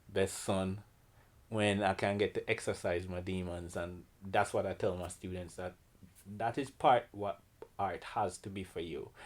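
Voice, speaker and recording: Over a silent background in a very clean recording, a man with a Jamaican accent talks at a fairly slow pace, fairly low in pitch and with fairly even intonation. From Jamaica, Kingston. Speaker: painter and art teacher. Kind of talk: artist interview.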